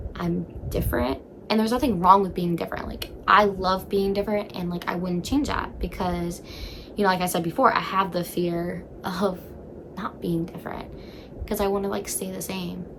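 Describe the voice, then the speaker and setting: A woman at a medium pitch, with ordinary pitch variation and a moderate pace, amid noticeable background noise and audible room echo. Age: 20s. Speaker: vlogger. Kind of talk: casual chat. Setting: in bed at home. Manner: loud.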